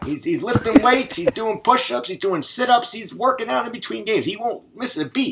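A man talks at a fairly quick pace in an extremely high pitch. His loudness swings widely over loud background noise. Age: 80s+. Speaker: online gamer. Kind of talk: casual chat. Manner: halting. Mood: joking, teasing. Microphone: headset.

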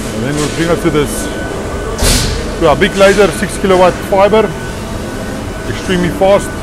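Over music in the background, the speech comes at a moderate pace with a dry sound and no echo. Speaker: factory tour guide. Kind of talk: casual tour commentary. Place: factory. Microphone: phone near.

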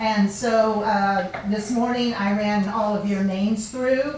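With noticeable background noise and audible room echo, a woman speaks at a fairly high pitch with fairly even intonation. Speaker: state representative. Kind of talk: public address at city council meeting. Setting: council meeting room. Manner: loud.

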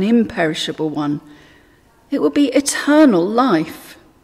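Speaking at a very slow pace, a woman with a fairly high pitch makes very wide pitch swings. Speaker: church prayer leader. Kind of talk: led daily prayer with liturgy and scripture readings, fervent intercession. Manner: earnest, reverent, measured. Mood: calm, reverent. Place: church. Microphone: webcam.

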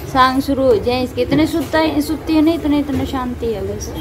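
A woman with a Haryana accent speaks at a very slow pace over noticeable background noise. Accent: Haryanvi. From Haryana, India. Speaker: home vlogger. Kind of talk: casual home vlog talk to camera. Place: home room. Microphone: phone near.

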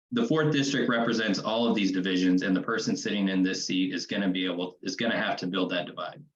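This speaker, with a Midwestern American accent, talks at a very fast pace with ordinary pitch variation. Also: man, fairly low pitch for a man. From Kansas City, Missouri (east side). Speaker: city council candidate. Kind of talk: candidate forum answer.

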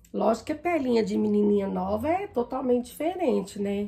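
Here a woman speaks at a moderate pace with a fairly high pitch. Her tone is dark and mellow, and somewhat breathy. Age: 40s. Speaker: makeup vlogger. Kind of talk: makeup tutorial. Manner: casual, chatty.

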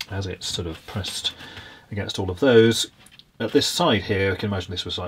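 An ordinary speaking voice from a man, fairly low in pitch, with ordinary pitch variation. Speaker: presenter. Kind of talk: tutorial. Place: workshop.

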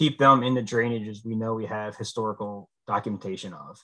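With an American accent, a man speaks at a moderate pace in a bright, sharp tone with ordinary pitch variation against a quiet background. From central Pennsylvania. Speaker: fisheries biologist; guest. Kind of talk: presentation. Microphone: video call.

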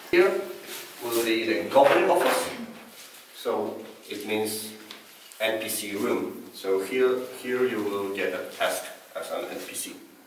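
Amid noticeable background noise and audible room echo, a man talks at a fairly slow pace. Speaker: event organizer guide. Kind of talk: guided tour explanation. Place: hall. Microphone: camera far.

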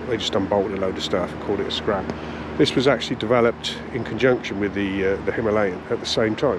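Noticeable background noise surrounds a man's voice, which sounds dry with no echo. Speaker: motorcycle reviewer. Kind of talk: casual vlog review. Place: waterside. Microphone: phone near.

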